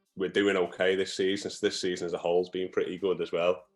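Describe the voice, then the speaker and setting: A man speaks with music playing in the background. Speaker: football performance analyst. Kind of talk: interview answer. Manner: stammers.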